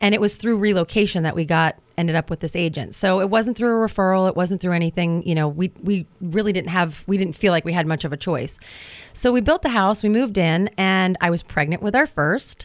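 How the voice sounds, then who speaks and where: Speaking at a fairly quick pace with an American accent, a woman uses a medium pitch and ordinary pitch variation. She has an ordinary speaking voice, heard on a very clean recording with a silent background. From New Jersey (Hoboken). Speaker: realtor. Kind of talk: radio interview.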